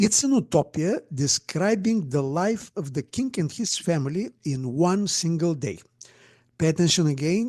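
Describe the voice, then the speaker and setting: A man with a Bulgarian accent speaks in a high, dark, mellow voice with lively intonation over a quiet background. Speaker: astronomer and speculative fiction writer. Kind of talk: conference talk. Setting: virtual conference presentation. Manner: hesitant, with many fillers.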